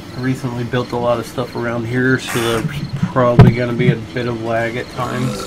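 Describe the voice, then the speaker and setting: Over noticeable background noise, a man with a medium-pitched voice talks fairly quickly in a monotone with flat intonation. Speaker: gaming streamer. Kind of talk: gameplay commentary. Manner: casual; loud.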